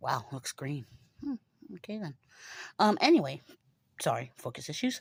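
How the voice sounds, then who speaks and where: A woman's somewhat breathy, fairly low voice at a moderate pace, with long, frequent pauses, big swings in loudness and very wide pitch swings. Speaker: book vlogger. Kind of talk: casual chat.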